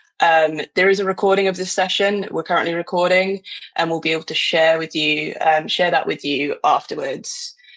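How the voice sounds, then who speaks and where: A woman with a British accent at a moderate pace. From Britain. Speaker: marketing director, webinar moderator. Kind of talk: webinar presentation.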